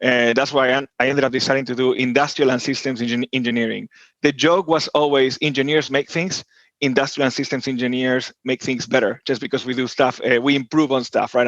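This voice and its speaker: A man with an Argentine accent talks very fast in fairly even intonation, the sound dry and close with no echo. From Argentina, Buenos Aires. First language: Spanish. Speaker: tech executive. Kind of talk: podcast interview. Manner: hesitant, many fillers and repeats.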